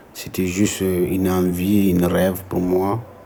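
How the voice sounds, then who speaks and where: Amid noticeable background noise and audible room echo, a man with a very deep, low pitch speaks in a monotone, flat way. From Senegal. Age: young. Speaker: migrant vocational student. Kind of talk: casual chat and testimony.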